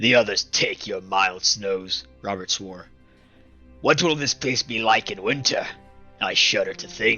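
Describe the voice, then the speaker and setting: Faint music plays behind a man doing a put-on character voice. He sounds raspy at medium pitch and speaks at a fairly slow pace. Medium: read story. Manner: loud, hearty.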